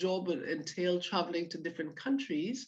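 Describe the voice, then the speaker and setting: A woman with a slight Caribbean accent, her fairly low pitch carrying ordinary pitch variation at a moderate pace. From Guyana. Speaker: orthopaedic surgeon. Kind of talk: talk. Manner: hesitant fillers.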